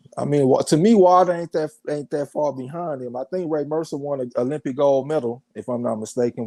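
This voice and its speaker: A man talks at a fairly quick pace with hardly any pauses, his fairly high pitch showing ordinary variation. His tone is dark and mellow, and the sound is dry and close with no echo. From US South. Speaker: boxing show host. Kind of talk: casual chat.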